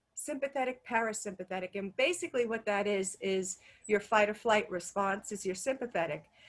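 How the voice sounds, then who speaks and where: A woman's fairly high voice, with lively intonation and a fairly quick pace. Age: 50s. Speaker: wellness coach. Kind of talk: webinar presentation; guided relaxation exercise. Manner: fast.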